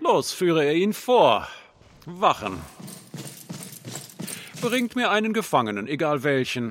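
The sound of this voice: In a put-on character voice with a fairly bright tone, the speaker goes at a slow pace with very wide pitch swings. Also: man, fairly high pitch for a man.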